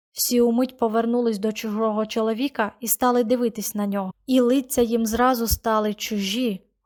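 The intonation stays fairly even in this natural reading voice.

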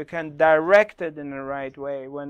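A man speaks at a moderate pace, and his pitch varies by ordinary amounts. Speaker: spiritual teacher. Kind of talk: workshop talk to online audience. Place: studio. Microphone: lapel.

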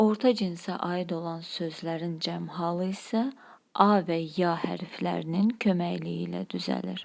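Speech from a woman comes at a very slow pace. Background is silent, the recording very clean. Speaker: language teacher. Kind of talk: lecture.

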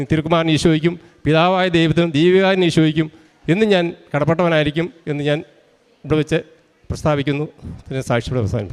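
An ordinary speaking voice from a man, fairly high-pitched, with ordinary pitch variation. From Kerala, Idukki district (Kattappana). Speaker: rubber tapper giving a religious testimony. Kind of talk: testimony.

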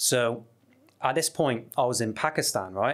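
A man speaks with a West Country accent and ordinary pitch variation. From southwest England. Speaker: travel YouTuber. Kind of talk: casual chat. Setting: studio. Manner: animated. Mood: relaxed, animated storytelling. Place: studio. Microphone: studio mic.

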